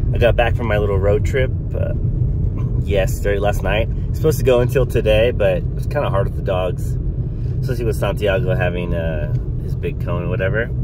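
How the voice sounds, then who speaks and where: Over loud background noise, a man's voice comes through with a dry sound and no echo. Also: fairly quick pace. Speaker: reptile-hunting vlogger. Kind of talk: casual vlog chat. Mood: relaxed, upbeat. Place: car. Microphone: phone near.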